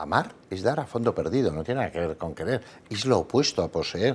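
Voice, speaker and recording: A man talks at a fairly quick pace. Vocal fry runs through his voice. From Basque Country, Spain. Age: 60s. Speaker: psychologist; guest. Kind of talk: panel debate. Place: studio. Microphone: lapel.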